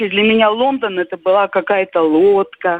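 At a very slow pace, a woman talks with a medium pitch and ordinary pitch variation. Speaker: caller. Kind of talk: casual reminiscence. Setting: phone call.

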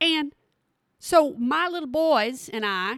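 Animated in tone, this voice has a Texan accent and very wide pitch swings. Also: woman. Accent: Texan Southern US. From Texas. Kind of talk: casual chat, podcast monologue. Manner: animated, folksy.

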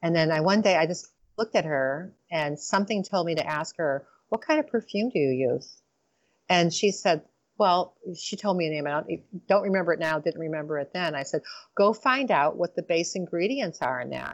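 With an American accent, a woman speaks in a fairly low voice with lively intonation. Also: moderate pace. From Michigan, Detroit area. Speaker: chiropractor and lifestyle coach. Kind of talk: interview. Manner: halting, many fillers.

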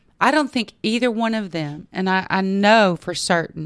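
A very slow Texan accent, ordinary pitch variation, very clean recording with a silent background. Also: woman. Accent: Texan Southern US. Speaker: yoga instructor and retreat owner. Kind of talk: interview.

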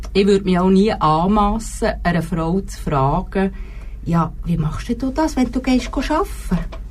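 A woman talks at a fairly slow pace and a medium pitch, with lively intonation. Noticeable background noise is present. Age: 40s. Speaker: homemaker. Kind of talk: casual chat. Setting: studio.

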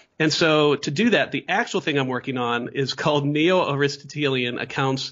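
In a Midwestern American accent, a man speaks at a fairly quick pace. His voice is fairly high, with fairly even intonation. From US Midwest. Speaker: philosophy professor. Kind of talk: interview.

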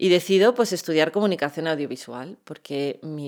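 The voice has ordinary pitch variation, captured on a very clean recording with a silent background. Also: woman. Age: 40s. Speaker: chronic pain patient and medical cannabis advocate. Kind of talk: interview.

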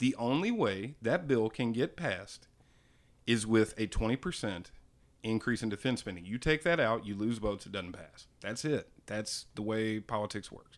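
A normal speaking voice from a man, medium in pitch with ordinary pitch variation, at a moderate pace. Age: 30s. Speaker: podcast co-host. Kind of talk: casual chat.

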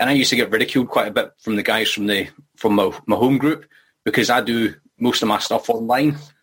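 Talking very fast in a Scottish accent, a man holds a medium pitch with ordinary pitch variation. His loudness stays very even. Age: 40s. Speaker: recovery group member. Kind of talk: group discussion on video call. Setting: video call.

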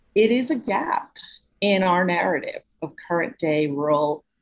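Here is a woman with an American accent. Her voice is somewhat breathy. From Brooklyn, New York. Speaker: author. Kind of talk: interview.

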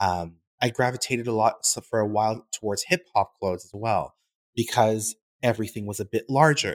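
A man speaks at a fairly quick pace and fairly low pitch with ordinary pitch variation, in a dry, close sound with no echo on a very clean recording with a silent background. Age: 30s. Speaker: fashion brand founder. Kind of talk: interview. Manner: halting, many fillers.

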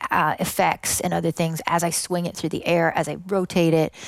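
An unremarkable speaking voice from a woman with a Canadian accent, fairly low in pitch, with fairly even intonation. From western Canada (British Columbia). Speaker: electronic music producer and vocalist. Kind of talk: casual interview.

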